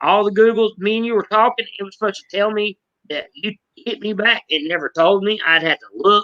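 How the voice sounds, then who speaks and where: Delivered at a moderate pace, the speech carries a Southern accent. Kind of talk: casual chat. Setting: live stream.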